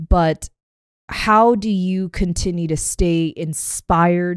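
In a dry, close recording with no echo and a silent background, a woman with an American accent speaks in a plain, everyday voice at a fairly low pitch. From Korean American family, US. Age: 30s. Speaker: podcast host. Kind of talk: casual interview chat.

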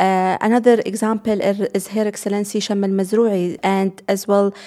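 With an Arabic accent, a woman talks at a medium pitch and a moderate pace in a dark, mellow tone. Her intonation is monotone and flat, and the recording is very clean with a silent background. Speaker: investment executive. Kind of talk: interview. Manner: halting, many fillers.

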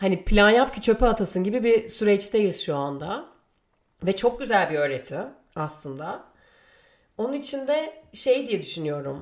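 Very wide pitch swings mark the speech, which moves at a fairly slow pace. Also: woman, medium pitch for a woman. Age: 30s. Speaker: podcast host. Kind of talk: solo monologue. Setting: home. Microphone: new microphone.

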